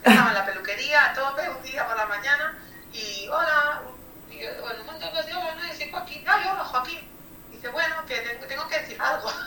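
With audible room echo, a woman projects her high-pitched voice at a fairly quick pace, using lively intonation and big swings in loudness. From Catalonia. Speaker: dog groomer. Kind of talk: interview.

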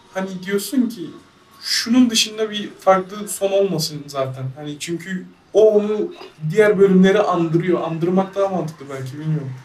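A high-pitched man with big swings in loudness, ordinary pitch variation and noticeable background noise. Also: moderate pace. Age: 20s. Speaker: programmer. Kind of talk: casual chat.

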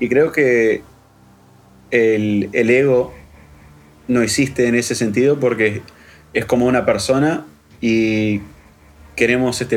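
Pausing long and often, a man talks at a medium pitch with ordinary variation. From Uruguay. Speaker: electronic musician. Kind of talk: interview.

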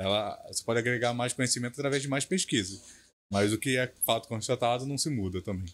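In a very clean recording with a silent background, a man with a medium pitch talks at a very fast pace with ordinary pitch variation. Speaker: tour guide and history student. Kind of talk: casual podcast interview.

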